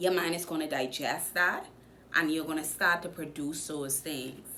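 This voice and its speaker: Audible room echo surrounds a woman speaking in an animated tone at a moderate pace with a Bahamian accent. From Bahamas. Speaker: motivational vlogger. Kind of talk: motivational talk.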